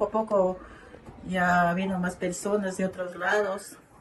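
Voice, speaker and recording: Very slow speech over noticeable background noise. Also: woman. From Ecuador, southern Amazon region (Zamora Chinchipe). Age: 60s. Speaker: local elder interviewee. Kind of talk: interview testimony.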